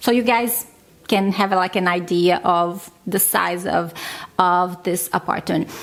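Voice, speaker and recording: A woman's medium-pitched voice with a non-native accent, fairly slow and fairly even in intonation, very even in loudness, over noticeable background noise. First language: not English. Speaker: vlogger, stay-at-home mom. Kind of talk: casual vlog talk.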